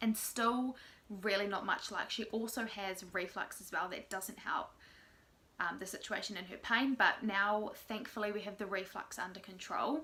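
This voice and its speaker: A woman talks at a moderate pace with an Australian accent. Her loudness swings widely from moment to moment. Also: medium pitch for a woman, fairly even intonation. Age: 20s. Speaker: mother of three. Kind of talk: casual vlog talk to camera.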